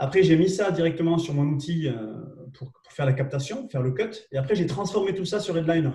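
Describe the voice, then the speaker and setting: With a southwestern French accent, a man speaks fairly quickly at fairly high pitch in a dark, mellow tone, with ordinary pitch variation. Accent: southwest French. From southwest France. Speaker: LinkedIn trainer and live show host. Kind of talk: live webinar tutorial. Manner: hesitant, many fillers and repetitions.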